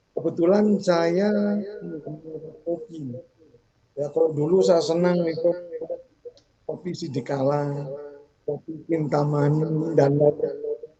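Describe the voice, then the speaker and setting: A man talks at a very slow pace. His pitch is fairly high for a man. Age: 60s. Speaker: network marketing member. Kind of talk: testimony. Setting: video call. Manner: halting, frequent fillers.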